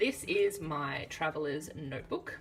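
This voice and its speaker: A woman with an Australian accent talks over music in the background. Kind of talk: casual talk to camera. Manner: chatty, relaxed.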